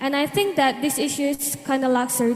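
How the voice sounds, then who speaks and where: A moderate pace, with noticeable background noise. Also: woman. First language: Indonesian. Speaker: student audience member. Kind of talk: question at seminar.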